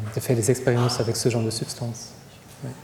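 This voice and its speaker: A man with a German accent speaks over noticeable background noise. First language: German (speaking French). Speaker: psychiatrist. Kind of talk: lecture Q&A. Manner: halting, many repetitions.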